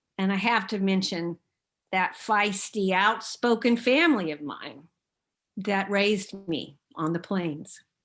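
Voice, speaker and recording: With an American accent, a woman speaks fairly slowly at a medium pitch with ordinary pitch variation against a quiet background. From Oklahoma, US (Enid). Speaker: seminary president and theologian. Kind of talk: lecture.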